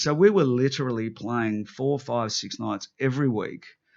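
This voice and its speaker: An animated man with an Australian accent, medium pitch, ordinary pitch variation, and a quiet background. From Newcastle, New South Wales, Australia. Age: 50s. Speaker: rock guitarist and songwriter. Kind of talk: casual interview chat. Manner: animated, with many restarts and fillers.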